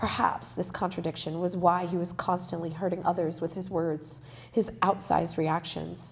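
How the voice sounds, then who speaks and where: A woman's fairly low, vocal-fried voice in a flat monotone at a moderate pace. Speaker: author and spiritual healer. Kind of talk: reading aloud. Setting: library event with live audience.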